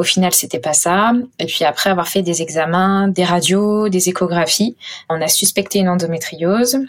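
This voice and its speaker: Speaking at a moderate pace, a woman has an unremarkable speaking voice at a medium pitch. Her loudness is very even, and her pitch variation is ordinary. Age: 30s. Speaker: patient advocate and entrepreneur. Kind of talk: personal testimony interview.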